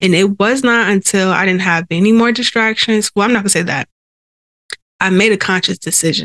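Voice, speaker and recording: At a fairly quick pace, a woman speaks with fairly even intonation and very even loudness. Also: medium pitch for a woman, dry, close sound with no echo. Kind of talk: casual devotional talk. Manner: sighing, audible breaths.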